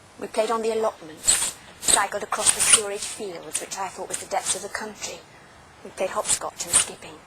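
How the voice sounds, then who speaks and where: Against noticeable background noise, a woman with a medium pitch speaks at a moderate pace, her intonation fairly even but her loudness swinging widely. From Leigh, Lancashire, England. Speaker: journalist and TV presenter. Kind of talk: documentary narration.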